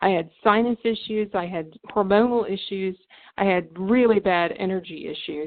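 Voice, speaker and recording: Using an ordinary speaking voice, a woman talks at a moderate pace with ordinary pitch variation. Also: medium pitch for a woman. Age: 60s. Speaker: network marketing distributor hosting webinar. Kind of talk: sales presentation webinar. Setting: phone conference webinar.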